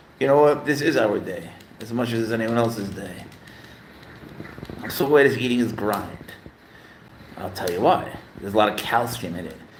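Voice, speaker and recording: A man's animated voice at a moderate pace, with ordinary pitch variation, big swings in loudness, long and frequent pauses, audible room echo and noticeable background noise. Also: medium pitch for a man. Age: 60s. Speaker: pet livestreamer. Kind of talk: casual live stream chat.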